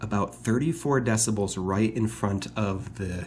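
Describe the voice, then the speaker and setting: A man's fairly low-pitched voice with vocal fry. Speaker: hobby channel host, reef aquarium keeper. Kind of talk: tutorial. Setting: at home beside aquarium.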